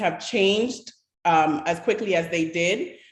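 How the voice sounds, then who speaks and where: A woman speaks at a very slow pace and a medium pitch, with audible room echo. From Bahamas. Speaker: panelist on creative industries. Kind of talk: panel discussion. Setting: online livestream hangout.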